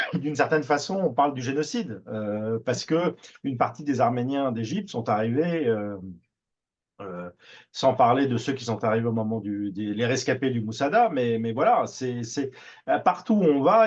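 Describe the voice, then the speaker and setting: Speaking at a moderate pace, a man with a Parisian accent uses lively intonation at a medium pitch. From Paris, France. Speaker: TV producer. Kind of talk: radio interview. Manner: hesitant, many fillers and repetitions.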